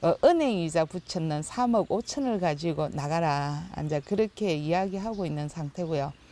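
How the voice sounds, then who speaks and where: A woman talks with hardly any pauses in a fairly low voice. Her tone is dark and mellow, with ordinary pitch variation. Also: moderate pace. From Ulsan, South Korea (Bangudae village). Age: 60s. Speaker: village resident. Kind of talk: casual discussion.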